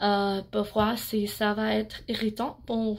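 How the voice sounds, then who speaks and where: A woman's fairly high voice unfolds at a very slow pace. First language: English (speaking French). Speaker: beauty vlogger. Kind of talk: product review vlog. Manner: halting, many hesitations.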